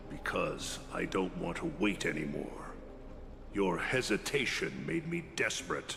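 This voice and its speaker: Over loud background noise, a man puts on a character voice at a medium pitch and a fairly slow pace. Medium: video game.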